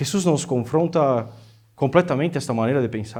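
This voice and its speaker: In a non-native accent, a man with a fairly high-pitched voice talks amid audible room echo. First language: Portuguese (speaking Spanish). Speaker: visiting preacher. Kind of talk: sermon. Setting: church. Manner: halting, many fillers.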